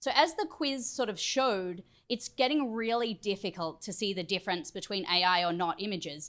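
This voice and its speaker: A woman with an Australian accent, medium pitch and lively intonation, in a very clean recording with a silent background. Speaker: tech company trainer. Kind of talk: training presentation.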